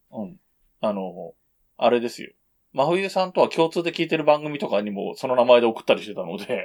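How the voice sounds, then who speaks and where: A man's medium-pitched voice with very wide pitch swings, big shifts in loudness and a fairly quick pace. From Japan, Yamanashi. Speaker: podcast co-host. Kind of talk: casual chat.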